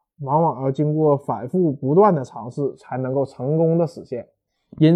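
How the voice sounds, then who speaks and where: A man with a northeastern Chinese accent speaks at a moderate pace. His pitch is fairly high, with ordinary variation. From Northeast China. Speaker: university lecturer, materials scientist. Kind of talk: popular science talk. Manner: animated, colloquial.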